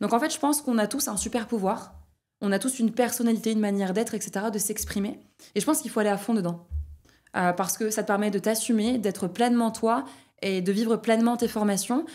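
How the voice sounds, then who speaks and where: Over music in the background, a woman speaks very fast at a fairly high pitch with ordinary pitch variation. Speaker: trainer of trainers. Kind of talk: podcast interview. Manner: loud.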